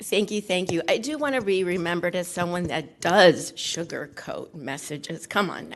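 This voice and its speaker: A woman with a fairly low pitch and lively intonation speaks over noticeable background noise. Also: moderate pace, hardly any pauses. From Cuba, raised in Los Angeles from age five. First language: Spanish. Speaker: retiring school district HR officer. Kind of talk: farewell speech. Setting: school board meeting.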